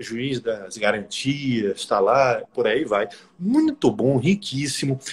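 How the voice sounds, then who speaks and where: A man speaks at a very slow pace, his voice fairly high and somewhat breathy. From Brazil, Bahia (Salvador). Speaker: law professor and prosecutor, interviewer. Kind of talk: casual interview on a live stream. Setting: Instagram live stream.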